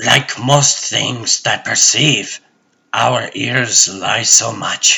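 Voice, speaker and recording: A man performs a raspy, put-on character voice. He goes very slowly, keeping his intonation fairly even. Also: medium pitch for a man. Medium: fan dub. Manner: rambling, philosophical, whimsical.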